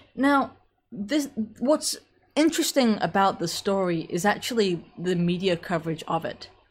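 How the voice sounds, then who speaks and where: Her pitch swings very widely around a medium level, at a moderate pace. The woman is somewhat breathy, and the recording is very clean with a silent background. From England. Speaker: political commentator. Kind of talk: live stream commentary. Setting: solo live stream with chat. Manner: casual, frequent fillers.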